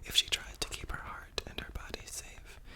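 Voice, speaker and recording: A woman whispers at a moderate pace. There is noticeable background noise. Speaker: ASMR creator. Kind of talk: whispered poetry reading for sleep.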